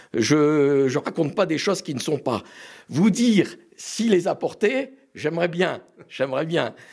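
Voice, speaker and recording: A high-pitched man speaks with lively intonation against a quiet background. His pace is fairly slow, broken by long, frequent pauses. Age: 60s. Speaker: collector. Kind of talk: interview. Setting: at home. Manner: hesitant.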